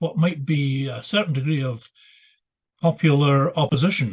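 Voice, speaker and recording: This man speaks in a Scottish accent at a moderate pace, his fairly high voice somewhat breathy. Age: 70s. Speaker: retired minister and author. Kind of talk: interview. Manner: halting, many fillers.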